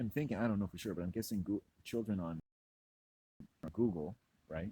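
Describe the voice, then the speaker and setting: A man speaks in a very deep, low voice that is somewhat breathy, with a dark, mellow, relaxed tone, ordinary pitch variation, and a dry, close sound with no echo. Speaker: YouTube vlogger. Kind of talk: casual vlog monologue. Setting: outdoors, walking. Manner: rambling, relaxed.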